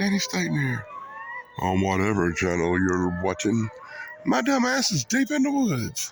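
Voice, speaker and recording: A man with an American accent talks at a fairly slow pace over noticeable background noise. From South Carolina, US South. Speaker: YouTuber. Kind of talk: casual vlog. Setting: outdoors.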